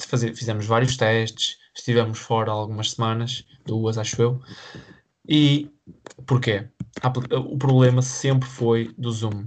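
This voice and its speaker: A man speaks at a medium pitch in a monotone, flat way. His speech has long, frequent pauses. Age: 20s. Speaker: podcast co-host. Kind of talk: casual chat.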